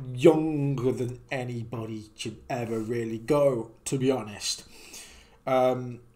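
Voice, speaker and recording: A man's dark, mellow voice at a very slow pace, with fairly even intonation. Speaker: streamer reacting to videos. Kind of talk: casual reaction commentary. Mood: somber, respectful.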